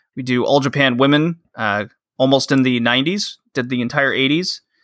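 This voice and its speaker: With an American accent, a man talks at medium pitch with ordinary pitch variation in an unremarkable speaking voice, recorded very cleanly over a silent background. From Texas. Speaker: wrestling podcaster. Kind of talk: casual chat.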